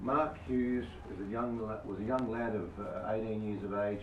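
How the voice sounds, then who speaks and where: A man with an Australian accent, fairly low in pitch, fairly even in intonation and moderate in pace, over noticeable background noise and audible room echo. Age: 70s. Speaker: product distributor giving testimony. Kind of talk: testimony. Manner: halting.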